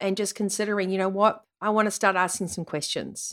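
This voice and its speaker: A woman's bright, sharp voice comes across animated and energetic on a very clean recording with a silent background. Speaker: podcast host and vitality coach. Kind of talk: pep talk. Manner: earnest, motivational, emphatic; animated, energetic.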